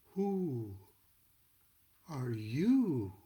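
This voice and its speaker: Using a put-on character voice, a man speaks at a medium pitch with very wide pitch swings. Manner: languid, sleepy.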